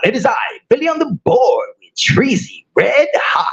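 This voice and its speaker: In a put-on, theatrical character voice, the speaker talks at a moderate pace with a high, raspy pitch. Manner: showy, theatrical radio-announcer delivery.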